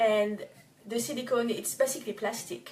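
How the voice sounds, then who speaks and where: A woman's fairly high voice with a French accent, fairly slow delivery and ordinary pitch variation. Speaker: organic cosmetics business owner. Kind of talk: tutorial. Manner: halting, many fillers and restarts.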